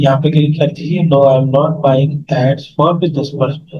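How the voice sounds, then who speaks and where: A man speaks in a fairly high, somewhat breathy voice at a moderate pace. His intonation is monotone and flat. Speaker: online marketing teacher. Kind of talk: screen-share tutorial class.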